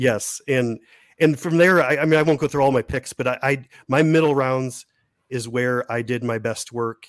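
In a plain, everyday voice, the speaker keeps a moderate pace and fairly even intonation. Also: man, medium pitch for a man, dry, close sound with no echo. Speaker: prospect analyst and podcaster. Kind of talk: casual chat. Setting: video call.

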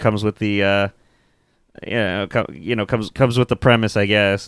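A fairly low-pitched man, flat and monotone, at a fairly quick pace in a very clean recording with a silent background. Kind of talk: casual chat. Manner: joking.

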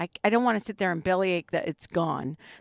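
Dry and close with no echo, a woman's normal speaking voice moves at a fairly quick pace at a medium pitch. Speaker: co-host and producer. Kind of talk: casual chat. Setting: in a van.

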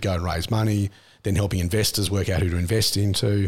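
A very fast, somewhat breathy male voice with an Australian accent and fairly even intonation, on a very clean recording with a silent background. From Australia, country Victoria. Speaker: tech entrepreneur and investor. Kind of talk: interview. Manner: casual, with frequent fillers.

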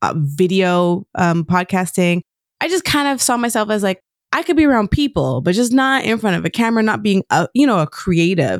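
A woman talks fairly quickly at a medium pitch, her voice swinging very widely in pitch. The recording is very clean and dry, close-sounding with no echo and a silent background. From Quebec. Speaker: podcaster. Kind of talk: casual chat.

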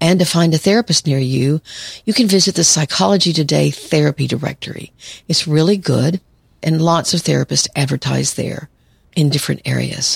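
Calm in tone, a woman with a very deep, low pitch and vocal fry speaks at a fairly quick pace in a dry, close sound with no echo. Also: ordinary pitch variation. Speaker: psychologist podcast host. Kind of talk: solo podcast monologue.

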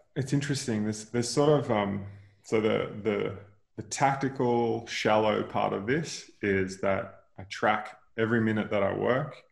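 Speaking fairly slowly with an Australian accent, a man uses a fairly low pitch and audible vocal fry. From Queensland, Australia (rural, near Noosa). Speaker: venture capital investor and former startup founder. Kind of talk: interview conversation.

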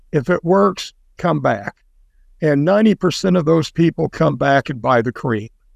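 An ordinary speaking voice, a man talks in an American accent at a moderate pace with ordinary pitch variation, in a dry, close sound with no echo. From US Midwest (rural Indiana). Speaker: business founder. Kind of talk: casual interview.

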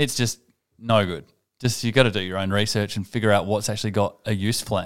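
On a very clean recording with a silent background, a man talks in an Australian accent. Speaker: podcast co-host. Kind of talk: casual chat.

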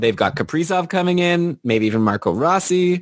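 A man with an unremarkable speaking voice talks at a fairly quick pace with lively intonation over a quiet background. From Canada. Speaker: podcast host, hockey card collector. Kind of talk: casual chat.

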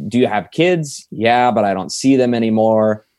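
A man with medium pitch and ordinary pitch variation speaks in a plain, everyday voice. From Indiana, south side of Indianapolis. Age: 20s. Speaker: police officer. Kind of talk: interview conversation. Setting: home office studio.

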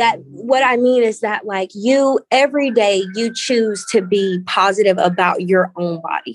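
With lively intonation, a woman speaks in a Southern US accent. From Valdosta, Georgia, US South. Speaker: founder of body positivity movement. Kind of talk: casual interview chat.

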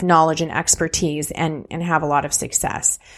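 A woman with a Californian accent at a moderate pace, over a quiet background. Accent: General American (Californian). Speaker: social media strategist and coach. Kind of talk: interview.

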